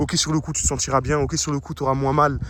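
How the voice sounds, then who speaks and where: Vocal fry marks a man's speech, delivered at a very fast pace. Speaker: anonymous vlogger. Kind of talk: personal monologue vlog. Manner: mumbling, swallows words, halting.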